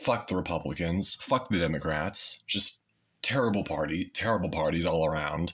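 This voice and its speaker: At a moderate pace, a man with a very deep, low voice talks with ordinary pitch variation and very even loudness. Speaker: YouTuber; vlogger. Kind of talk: casual monologue. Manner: halting with many fillers. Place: home room. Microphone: phone near.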